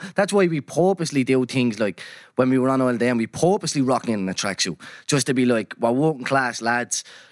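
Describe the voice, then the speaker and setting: A man speaks at a fairly quick pace in an Irish accent, his intonation lively, the sound dry and close with no echo, on a very clean recording with a silent background. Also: medium pitch for a man. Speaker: podcast host. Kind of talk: casual chat.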